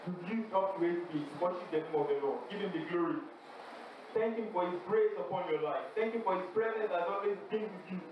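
The man's voice is high-pitched, with ordinary pitch variation at a fairly quick pace. Strong room echo and noticeable background noise fill the recording. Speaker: campus fellowship prayer leader. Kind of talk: fervent congregational prayer and worship exhortation. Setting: university fellowship gathering with audience. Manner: urgent, rhythmic, repeating exhortations; fervent, exhorting. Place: hall.

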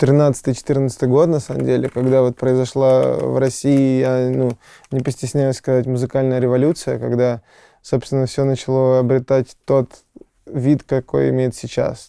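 A man's dark, mellow tone, monotone and flat, at a fairly slow pace in a dry sound with no echo and a quiet background. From Serbia. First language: Serbian (speaking Russian). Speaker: rock band singer-songwriter; interviewee. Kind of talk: interview. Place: studio. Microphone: lapel.

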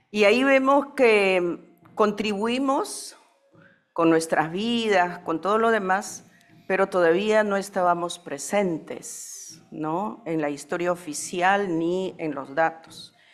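A woman's medium-pitched voice at a very slow pace, lively in intonation, with faint music in the background. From Peru, Andes (Quechua Chanca); Peru. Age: 70s. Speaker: panelist. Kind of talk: conference talk. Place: hall. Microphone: podium.

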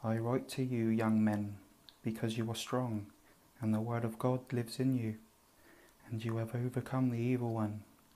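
Soft-spoken and soothing, a man talks in a dark, mellow tone with monotone, flat intonation and long, frequent pauses. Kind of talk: soft-spoken Bible reading for relaxation. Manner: soft-spoken, soothing.

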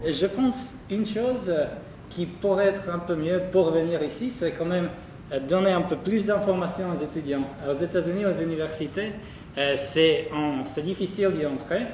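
The speech moves at a fairly slow pace, with long, frequent pauses and ordinary pitch variation. Light background noise and audible room echo are present. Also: man, high pitch for a man. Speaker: student. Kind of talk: testimony. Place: hall.

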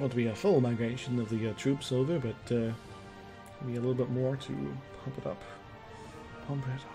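Music plays in the background as a man speaks with long, frequent pauses. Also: medium pitch for a man, ordinary pitch variation, fairly quick pace. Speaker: game streamer. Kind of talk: casual gameplay commentary. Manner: mumbly at times.

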